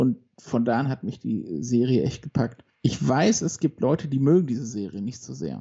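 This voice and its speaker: Pausing hardly at all, a man with a medium pitch talks at a moderate pace, his intonation lively and his voice showing vocal fry. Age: 30s. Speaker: podcast co-host, accountant. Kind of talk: casual chat.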